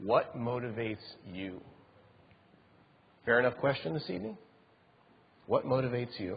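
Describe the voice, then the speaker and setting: The speech moves at a fairly quick pace. The voice is somewhat breathy. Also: man. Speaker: chapel speaker. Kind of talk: sermon.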